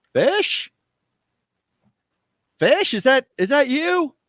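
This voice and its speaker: Using a put-on character voice, this man talks at an extremely high pitch. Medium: actual play. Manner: friendly-sounding imitation.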